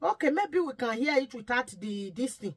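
Her pitch swinging very widely, a woman speaks at a fairly slow pace against a quiet background. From Nigeria. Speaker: YouTube vlogger; commentator vlogger. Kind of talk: vlog commentary. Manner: pleading. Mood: pleading, emotional. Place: home room.

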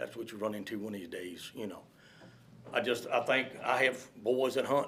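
A man with a Virginia accent at a moderate pace. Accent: Southern US, rural Virginia. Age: 60s. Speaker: public commenter, hunter. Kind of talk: public comment at county board meeting. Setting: county board meeting room.

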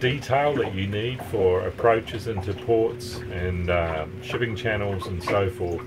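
A man at a very slow pace, ordinary pitch variation, noticeable background noise throughout. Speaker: sailing vlogger. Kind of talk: casual vlog chat. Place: boat. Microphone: phone near.

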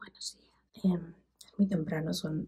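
Against a quiet background, a woman is whispering. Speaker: sex educator and vlogger; sex educator vlogger. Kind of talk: product review vlog. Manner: very quiet, near whisper. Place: bathroom. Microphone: phone near.

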